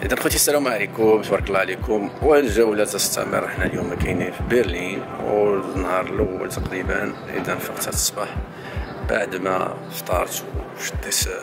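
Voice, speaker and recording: A man talks at a moderate pace. Behind him, clear music can be heard in the background. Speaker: travel vlogger. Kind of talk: casual vlog chat. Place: street. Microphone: phone near.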